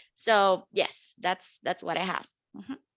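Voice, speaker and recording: The background is quiet. A woman speaks in a bright, sharp tone. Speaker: workshop participant. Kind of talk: online workshop discussion. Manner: loud; animated.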